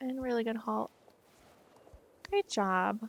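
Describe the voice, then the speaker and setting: A soft-spoken woman talks at a moderate pace, the sound dry and close with no echo. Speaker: riding clinic instructor in online game. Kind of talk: live coaching feedback. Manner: sounds sarcastic when nice.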